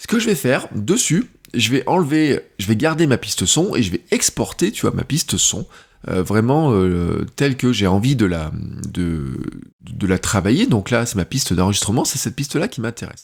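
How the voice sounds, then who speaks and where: Very wide pitch swings mark this man's quiet voice on a very clean recording with a silent background. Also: medium pitch for a man, moderate pace. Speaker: content creator and podcaster. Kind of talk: tutorial. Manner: loud at first then quieter; casual, hesitant with fillers.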